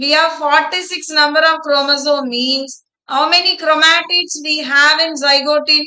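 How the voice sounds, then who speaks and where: A woman speaks in a high, monotone, flat voice at a fairly slow pace. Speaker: biology teacher. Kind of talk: online live class lecture. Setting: online live class. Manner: slow, deliberate.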